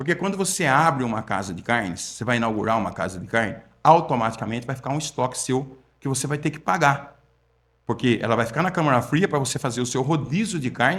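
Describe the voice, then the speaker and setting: A man's medium-pitched voice, very fast in pace, with lively intonation. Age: 60s. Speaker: meat and supermarket management consultant. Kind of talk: podcast interview. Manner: conversational, repetitive.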